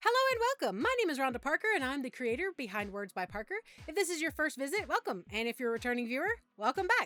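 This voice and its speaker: A woman with an American accent talks very fast in a raised, projected voice, her pitch high and swinging very widely. Her tone is bright and sharp, and the sound is dry and close with no echo. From US South, Southern Appalachia. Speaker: YouTuber, writer and narrator. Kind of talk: Q and A video.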